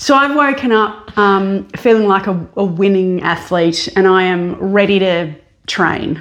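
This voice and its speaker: Speaking fairly slowly with an Australian accent, a woman keeps a very even loudness and ordinary pitch variation. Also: medium pitch for a woman. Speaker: podcast co-host. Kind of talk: casual chat. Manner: animated.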